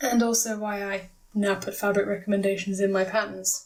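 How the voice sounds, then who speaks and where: A woman with a British accent. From Britain. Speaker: craft video maker, plush pattern designer. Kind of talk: tutorial.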